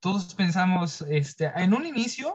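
A man's high-pitched voice. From Mexico, outside Mexico City. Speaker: university student. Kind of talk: interview. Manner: halting.

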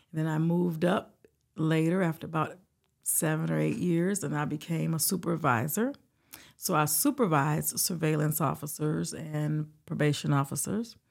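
A woman's very deep, low pitch with vocal fry, on a very clean recording with a silent background. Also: ordinary pitch variation, moderate pace. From Detroit, Michigan. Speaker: retired juvenile detention superintendent. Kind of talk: interview.

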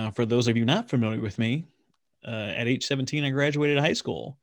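On a very clean recording with a silent background, the speaker moves at a moderate pace with ordinary pitch variation. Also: man. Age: 50s. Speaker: podcast host; naval officer. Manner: calm, soothing delivery.

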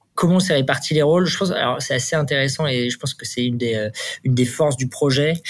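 A somewhat breathy man's voice, fairly high in pitch, at a very fast pace. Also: ordinary pitch variation. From Normandy, France (Le Havre). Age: 30s. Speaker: startup founder and CEO. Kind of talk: interview. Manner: hesitant, many fillers.

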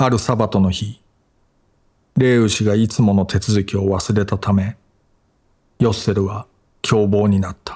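A man's fairly low, somewhat breathy voice with a dark, mellow tone, fairly slow and monotone, flat in intonation, with long, frequent pauses. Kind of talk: audiobook reading of literary essay. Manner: even, measured, calm narrating pace.

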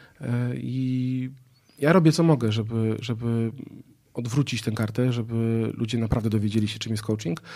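A man's medium-pitched voice with a dark, mellow tone, ordinary pitch variation and a moderate pace. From northern Poland, Gdańsk area. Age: 30s. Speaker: entrepreneur and public speaker. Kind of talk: casual interview. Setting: outdoor studio.

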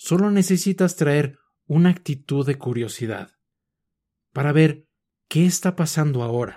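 Somewhat breathy and calm, the voice has a Mexican accent and a dark, mellow tone, moving at a fairly slow pace with ordinary pitch variation and long, frequent pauses. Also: man, very clean recording, silent background. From Mexico City. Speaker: mindfulness podcast host. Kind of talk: scripted mindfulness talk.

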